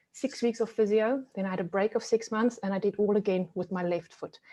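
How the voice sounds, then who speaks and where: Against a quiet background, a woman of medium pitch with a South African accent speaks in a dark, mellow tone and fairly even intonation. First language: Afrikaans. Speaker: resilience coach. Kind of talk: webinar presentation. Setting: video call.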